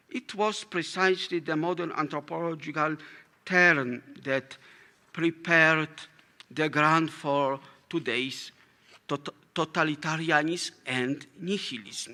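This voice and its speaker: In a very clean recording with a silent background, a man with a Polish accent speaks at a fairly slow pace in a bright, sharp tone, fairly high in pitch with ordinary pitch variation and long, frequent pauses. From Poland. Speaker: philosophy professor. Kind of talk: lecture read from a prepared text. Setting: conference hall with audience. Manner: formal; halting.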